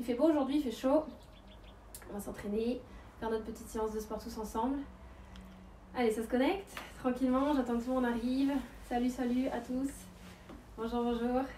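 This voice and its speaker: At a fairly quick pace, a woman with a high pitch and fairly even intonation speaks amid audible room echo and light background noise. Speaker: fitness coach. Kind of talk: live stream greeting and workout intro. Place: waterside. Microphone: camera far.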